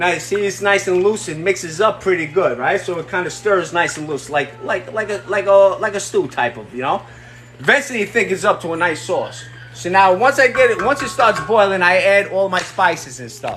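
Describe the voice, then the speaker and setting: Against noticeable background noise, a man with a New York accent talks at a fairly quick pace in a high voice with very wide pitch swings. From New York, Brooklyn. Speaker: livestreamer cooking and talking. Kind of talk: casual livestream cooking chat. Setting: home kitchen livestream. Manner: animated.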